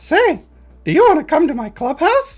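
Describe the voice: A put-on character voice sounds squeaky and high in pitch. It moves at a moderate pace.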